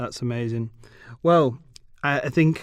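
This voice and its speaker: The voice comes in a British accent at a moderate pace. The background is quiet. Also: man. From England. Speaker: podcast host. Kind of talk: podcast interview.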